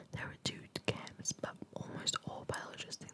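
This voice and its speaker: A woman whispering at a moderate pace, with noticeable background noise. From Spanish and Australian. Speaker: ASMR creator. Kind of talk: ASMR reading of philosophy. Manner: whispered, soft.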